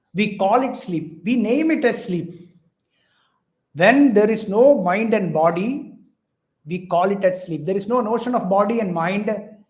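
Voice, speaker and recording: With audible room echo, a man with a high pitch speaks at a fairly slow pace, with ordinary pitch variation and long, frequent pauses. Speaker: spiritual teacher. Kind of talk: lecture.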